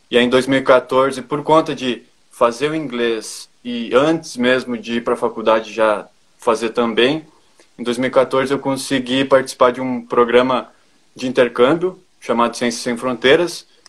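A man's medium-pitched voice in a southern Brazilian accent, fairly slow, with fairly even intonation. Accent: southern Brazilian (gaúcho) Portuguese. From Brazil, northwestern Rio Grande do Sul. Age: 20s. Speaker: agricultural engineer. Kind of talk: interview.

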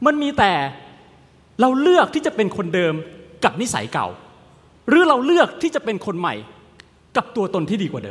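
Pitched high for a man, this male voice swings very widely up and down. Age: 30s. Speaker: motivational speaker. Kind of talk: motivational talk. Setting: virtual event. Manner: animated.

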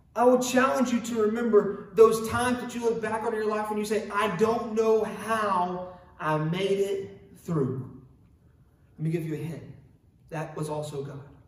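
This man's voice is high-pitched with lively intonation at a moderate pace. Audible room echo can be heard. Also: big swings in loudness. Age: 20s. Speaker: pastor. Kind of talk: sermon. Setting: online church service.

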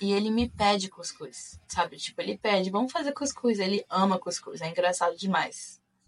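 A woman's unremarkable speaking voice, medium in pitch, with lively intonation at a moderate pace. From Brazil, Rio de Janeiro state (Macaé). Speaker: returned missionary. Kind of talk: casual interview.

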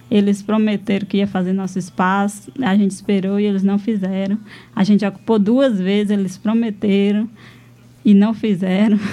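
A woman at a moderate pace, her intonation monotone and flat. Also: medium pitch for a woman. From Brazil, Ceará sertão (Pentecoste). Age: 20s. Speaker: rural settler, cultural activist. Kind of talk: radio interview. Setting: radio studio.

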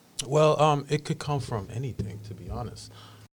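Somewhat breathy, a man's voice comes through. The recording is very clean with a silent background. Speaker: visual artist and filmmaker. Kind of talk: casual chat. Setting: studio.

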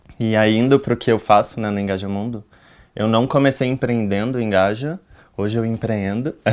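The delivery has an ordinary speaking voice, fairly even intonation, and a moderate pace. The recording is very clean, with a silent background. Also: man. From Brazil, Rio de Janeiro and Brasília. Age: 20s. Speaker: youth activist at an NGO. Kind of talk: casual chat.

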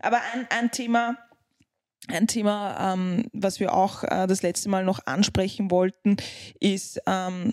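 In a non-native accent, a woman speaks very slowly at a medium pitch, recorded with a dry, close sound and no echo. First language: not German (speaking German). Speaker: podcast co-host, parent. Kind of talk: casual chat.

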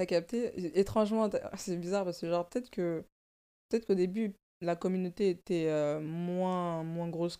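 In a dark, mellow tone, a woman with a fairly low pitch speaks at a moderate pace with ordinary pitch variation, recorded very cleanly against a silent background. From Paris suburbs. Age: 20s. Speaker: content creator and fashion designer. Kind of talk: casual interview. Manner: hesitant, many fillers.

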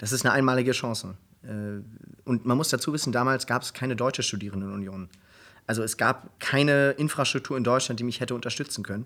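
Here a man talks at a very fast pace. His pitch sits in the medium range. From Germany (Hamburg, Cologne, Berlin). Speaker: program manager at a foundation, law school alumnus. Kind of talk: casual interview. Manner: halting, many fillers.

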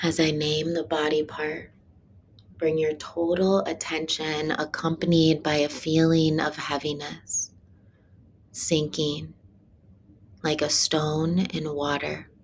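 Speaking at a very slow pace with long, frequent pauses, a woman uses a very deep, low pitch, a monotone, flat intonation and a soothing, calm tone. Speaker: meditation guide. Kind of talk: guided meditation. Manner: slow, hushed, soothing; calm, rhythmic, with long pauses.

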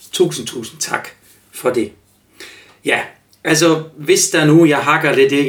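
A man speaks at a very slow pace, his pitch varying by an ordinary amount. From Germany. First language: German (speaking Danish). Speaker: life coach and podcast host. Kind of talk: solo podcast monologue. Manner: halting, many fillers.

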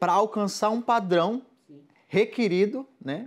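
Very clean audio with a silent background carries this man's voice. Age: 20s. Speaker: evangelical guest speaker. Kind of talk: casual faith conversation.

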